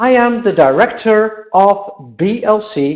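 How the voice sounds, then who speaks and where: Speaking very slowly with a Dutch accent, a man uses a high pitch. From Netherlands. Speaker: Dutch language teacher. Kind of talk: webinar lecture. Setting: on vacation in Spain.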